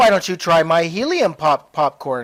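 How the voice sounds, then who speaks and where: A put-on character voice sits at a middle pitch. The recording is very clean, and the background is silent. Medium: read story.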